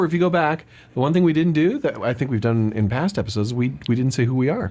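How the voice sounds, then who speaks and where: Very fast speech with lively intonation on a very clean recording with a silent background. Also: man. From Canada. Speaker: voice actor. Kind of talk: podcast host talk.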